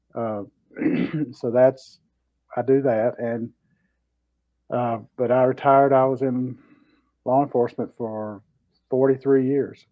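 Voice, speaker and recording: A man with a medium-pitched voice speaks fairly slowly in a monotone, flat way. He takes long, frequent pauses. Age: 60s. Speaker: retired law enforcement officer, keto YouTuber. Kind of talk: casual interview.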